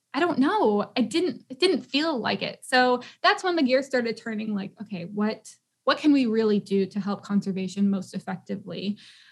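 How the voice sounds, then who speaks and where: With a somewhat breathy, fairly high voice, a woman talks at a moderate pace using lively intonation. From Tennessee, US. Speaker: eco-tour founder and podcast host. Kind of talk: casual chat.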